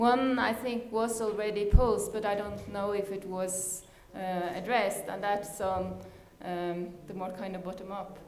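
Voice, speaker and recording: A woman talks at a moderate pace and medium pitch, with fairly even intonation but big swings in loudness. Noticeable background noise and audible room echo surround her voice. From Norway. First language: Norwegian. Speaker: panel moderator. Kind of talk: panel discussion moderation. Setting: conference session.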